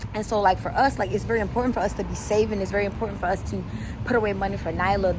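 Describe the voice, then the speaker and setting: A woman races along at a very fast pace, with audible room echo and noticeable noise in the background. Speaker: lifestyle vlogger. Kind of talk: casual vlog. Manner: whispering.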